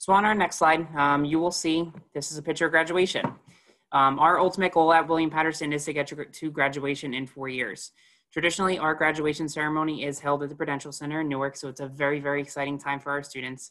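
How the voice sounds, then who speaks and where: A man's bright, sharp tone at a very fast pace, with fairly even intonation against a quiet background. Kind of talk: presentation to prospective students. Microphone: webcam.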